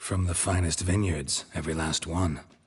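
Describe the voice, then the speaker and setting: In a put-on character voice, a man speaks at a very deep, low pitch. The sound is raspy and the pace moderate. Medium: video game. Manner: terse, deadpan.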